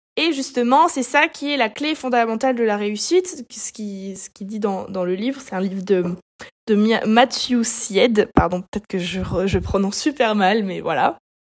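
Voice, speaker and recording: A woman's animated, fairly high voice at a fairly slow pace, with lively intonation and big swings in loudness. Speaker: solo podcaster. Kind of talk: solo monologue podcast.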